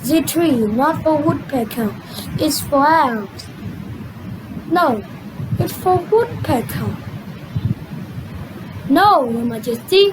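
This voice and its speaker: A high-pitched put-on character voice at a very slow pace with long, frequent pauses over clear background noise. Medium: fan dub.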